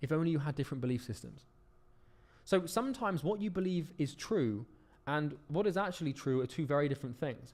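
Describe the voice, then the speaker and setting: At a fairly quick pace, a man speaks with lively intonation and a fairly high pitch. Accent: British. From United Kingdom. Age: 20s. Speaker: business coach. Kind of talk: lecture. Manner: fast.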